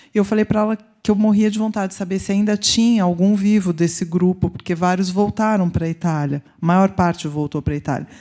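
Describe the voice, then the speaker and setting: A woman's dark, mellow voice in a Brazilian accent, medium-pitched with fairly even intonation, fairly quick and with hardly any pauses, over a quiet background. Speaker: researcher. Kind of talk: audience question at conference.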